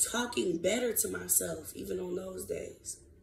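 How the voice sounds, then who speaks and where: With audible room echo, a woman speaks in an animated tone at a moderate pace. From US South. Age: 20s. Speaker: podcast host. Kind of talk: casual monologue podcast.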